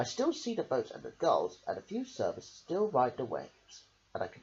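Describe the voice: Someone reads out loud in a plain manner.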